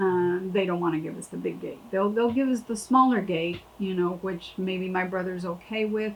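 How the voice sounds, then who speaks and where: With an American accent, a woman uses a normal speaking voice at a medium pitch, keeping a moderate pace with hardly any pauses and fairly even intonation. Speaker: landowner. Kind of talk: interview.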